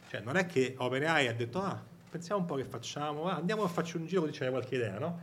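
A man speaks very fast in a Roman accent, his pitch fairly high and his intonation lively. Audible room echo surrounds his voice. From Rome, Italy. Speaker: tech company AI director. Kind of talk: live event interview. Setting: event with live audience.

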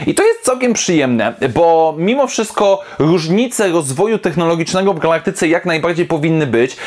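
The speech moves at a fairly quick pace with hardly any pauses. Background noise is noticeable. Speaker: YouTube comic book reviewer. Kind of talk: solo video review. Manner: casual, with frequent fillers.

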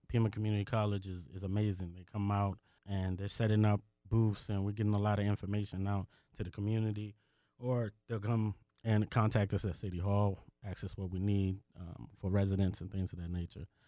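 In an American accent, a man with a fairly low voice talks at a fairly quick pace. His tone is dark and mellow, and his intonation stays monotone and flat. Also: very clean recording, silent background. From Washington, D.C. area. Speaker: acting mayor. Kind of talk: interview.

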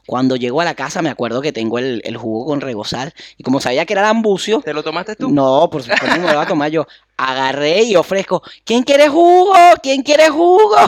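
A man talks at a fairly quick pace with a Venezuelan accent. His fairly high pitch moves in very wide swings. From Venezuela, Carrizal. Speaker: comedy podcast co-host. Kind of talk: casual comedic chat.

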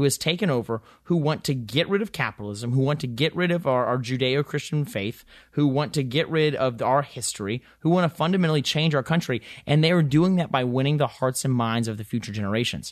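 Against a quiet background, a man with an Appalachian accent talks very fast in a fairly high voice. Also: ordinary pitch variation. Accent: Southern US (Appalachian). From Western North Carolina. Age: 20s. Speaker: congressional candidate. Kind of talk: interview. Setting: studio. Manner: halting, many fillers.

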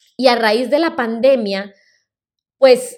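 In a very clean recording with a silent background, a woman speaks at a high pitch with ordinary pitch variation. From Colombia. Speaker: podcast host and healthy-recipe creator. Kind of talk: personal storytelling monologue.

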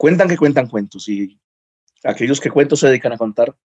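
This man's voice has a dry, close sound without any echo. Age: 30s. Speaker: lawyer and stand-up comedian. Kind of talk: casual interview chat.

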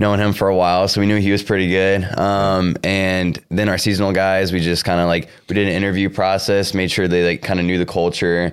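With a Midwestern US accent, a man speaks in a very deep, low pitch and a monotone, flat intonation. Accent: US Midwest. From Iowa (Cedar Rapids). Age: 20s. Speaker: young entrepreneur, sneaker store co-founder. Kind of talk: interview. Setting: on location in a shoe store at a mall.

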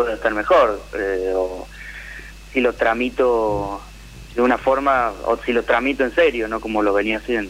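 A man is speaking. His pace is very slow. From Tucumán, Argentina. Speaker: caller. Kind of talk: personal testimony.

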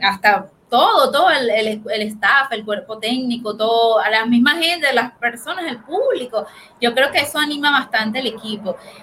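A woman speaks at a moderate pace with hardly any pauses. Her high pitch varies in an ordinary way. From Venezuela. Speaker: sports commentator. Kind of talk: casual sports panel talk.

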